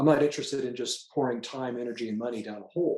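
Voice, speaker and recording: Very fast male speech with ordinary pitch variation. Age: 60s. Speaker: patient sharing testimonial. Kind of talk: testimony. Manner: casual with frequent fillers.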